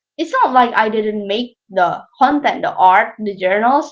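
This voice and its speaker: A woman with a non-native accent, fairly slow, with ordinary pitch variation, over music in the background. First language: not English. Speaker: YouTuber. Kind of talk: scripted narration.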